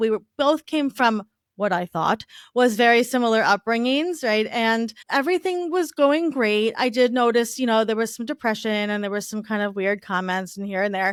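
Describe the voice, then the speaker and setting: A woman with a slight Long Island accent speaks at a moderate pace in an animated tone with lively intonation. The recording is very clean, with a silent background. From Long Island, New York. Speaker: divorce recovery entrepreneur. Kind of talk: podcast interview, personal story.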